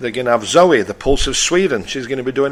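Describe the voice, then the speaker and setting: Speaking at a medium pitch, a man talks in a Yorkshire accent. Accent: northern English (Yorkshire). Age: 60s. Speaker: radio host. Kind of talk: radio talk show monologue. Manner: blunt; halting.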